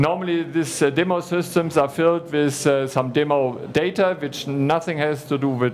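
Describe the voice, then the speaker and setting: Amid noticeable background noise and audible room echo, a man with a fairly high pitch speaks at a moderate pace with fairly even intonation and hardly any pauses. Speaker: conference speaker on cloud services. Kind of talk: conference presentation. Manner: halting, many fillers.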